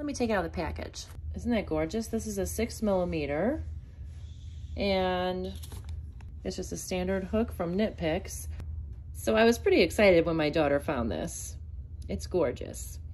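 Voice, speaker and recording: Long, frequent pauses break up a woman's moderately paced speech. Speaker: crochet vlogger. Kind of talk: casual vlog chat. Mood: excited, cheerful. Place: home room. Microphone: phone near.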